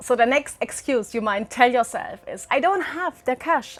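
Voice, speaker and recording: With music in the background, a woman with a German accent speaks at a high pitch and a fairly quick pace with lively intonation. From Germany. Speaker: travel vlogger. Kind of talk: tutorial. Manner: animated.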